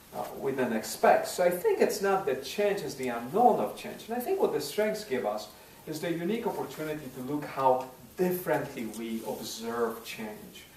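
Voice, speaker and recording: Over noticeable background noise and audible room echo, a man speaks at a moderate pace. His voice is high-pitched and swings very widely in pitch. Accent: non-native. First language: not English. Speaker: parish priest and speaker. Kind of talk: speech at a dinner. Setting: parish dinner with audience. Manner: hesitant, many fillers and repeats.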